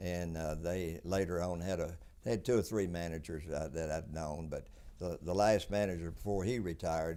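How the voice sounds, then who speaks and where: With a Tennessee accent, a man talks at a moderate pace, his very deep, low voice dark and mellow in tone with ordinary pitch variation. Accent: Southern US (Tennessee). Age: 80s+. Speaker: businessman. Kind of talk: interview. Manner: halting.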